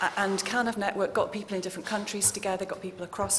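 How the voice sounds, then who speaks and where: A woman is speaking with noticeable background noise. Audible room echo surrounds the voice. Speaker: researcher. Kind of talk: conference presentation. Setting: conference hall with audience.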